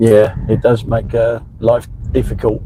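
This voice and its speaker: A man speaks at medium pitch with monotone, flat intonation over noticeable background noise. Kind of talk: casual live-stream chat while driving.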